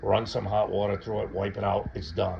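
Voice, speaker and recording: Noticeable background noise is heard. A man talks over it. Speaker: hobby moonshine distiller and reviewer. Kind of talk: casual tutorial to camera. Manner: stutters at times; casual, rambling with fillers.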